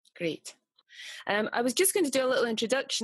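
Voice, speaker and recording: A woman with a strong Scottish accent is heard in a dry, close recording with no echo and a quiet background. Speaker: meditation teacher, interviewer. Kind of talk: interview.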